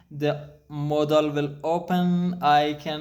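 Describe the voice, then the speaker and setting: The speaker has a non-native accent and a monotone, flat intonation. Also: man. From Afghanistan. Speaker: programmer. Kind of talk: casual talk to camera. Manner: halting, many fillers.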